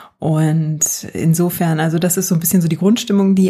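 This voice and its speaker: A woman speaks at a fairly low pitch with fairly even intonation. Noticeable background noise runs behind her. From Germany. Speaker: podcast guest living in the US. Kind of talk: casual chat.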